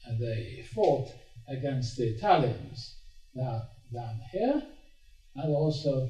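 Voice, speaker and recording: A man at a very slow pace with ordinary pitch variation, audible room echo and music in the background. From Hungary, Budapest. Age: 80s+. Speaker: Holocaust survivor speaker. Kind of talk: talk to students. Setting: stage with audience. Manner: halting.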